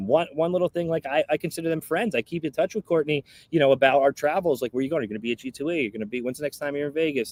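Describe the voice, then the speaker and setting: Talking at a very fast pace with hardly any pauses, a man speaks in an American accent. His tone is animated, with ordinary pitch variation. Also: fairly high pitch for a man, dry, close sound with no echo. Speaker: slot machine content creator. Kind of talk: casual chat. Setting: live stream video call. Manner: loud.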